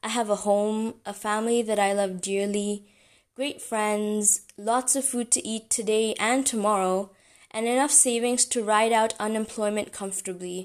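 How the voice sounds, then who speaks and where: In a monotone, flat voice pitched fairly high, a woman speaks over a quiet background. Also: moderate pace. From Africa. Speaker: podcast host. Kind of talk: inspirational monologue.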